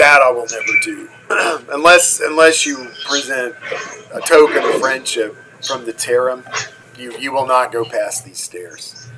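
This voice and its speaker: A put-on, gravelly character voice at a moderate pace, broken by long, frequent pauses. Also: man, fairly high pitch for a man. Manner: commanding.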